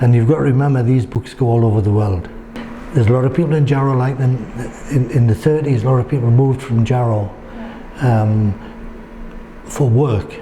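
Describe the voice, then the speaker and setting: Speaking with a Geordie accent, a man uses a medium pitch and very even loudness at a fairly quick pace, broken by long, frequent pauses. Noticeable background noise sits behind him. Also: ordinary pitch variation. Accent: north-east English (Geordie). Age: 70s. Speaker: local history writer and photographer. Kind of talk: interview answer.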